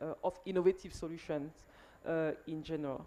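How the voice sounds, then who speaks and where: A woman speaks in a French accent with a dark, mellow tone. Her pace is fairly quick and her intonation fairly even. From Cameroon. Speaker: panel moderator. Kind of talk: panel discussion. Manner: hesitant, many fillers.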